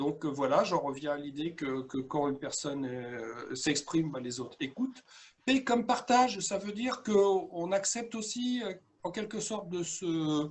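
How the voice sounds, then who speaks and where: A man with a high-pitched voice speaks at a fairly slow pace, his pitch swinging very widely. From France, Dordogne. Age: 60s. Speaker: coach and workshop trainer. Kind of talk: webinar presentation. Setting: video call. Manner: hesitant, many filler sounds.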